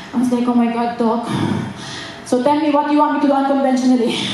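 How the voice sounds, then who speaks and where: A woman speaks very fast in a high voice. Strong room echo and noticeable background noise surround her. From Philippines. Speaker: stand-up comedian. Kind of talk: live stand-up comedy set. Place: stage.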